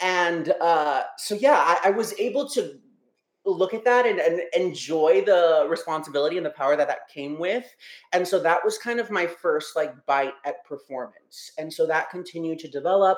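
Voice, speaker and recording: In an American accent, a man speaks at a high pitch and a moderate pace, with an animated, passionate tone and ordinary pitch variation. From Texas Rio Grande Valley. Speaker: high school theater director and speech coach. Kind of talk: casual interview chat. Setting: video call.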